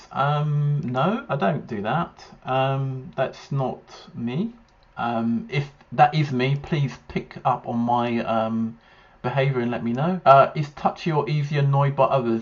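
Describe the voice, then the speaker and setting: A man with a fairly high pitch and a somewhat breathy voice talks fairly slowly with ordinary pitch variation. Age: 40s. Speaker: YouTuber reacting to ADHD test. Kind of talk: casual monologue reacting to questionnaire. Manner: halting, many fillers.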